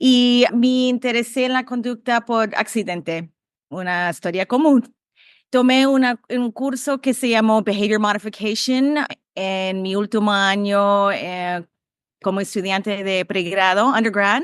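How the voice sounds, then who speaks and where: A woman with an English accent speaks at a fairly slow pace in a fairly high pitch, with ordinary pitch variation against a quiet background. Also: dry, close sound with no echo. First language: English (speaking Spanish). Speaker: behavior analysis professor. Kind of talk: podcast interview. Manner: halting.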